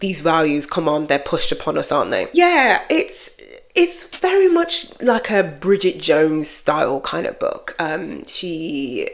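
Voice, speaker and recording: A woman is speaking. She has a British accent. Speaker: book vlogger. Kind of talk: casual chat. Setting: home office. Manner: casual, unscripted.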